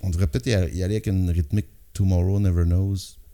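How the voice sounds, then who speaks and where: The tone is dark and mellow. It belongs to a man. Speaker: rock singer and guitarist. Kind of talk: casual chat.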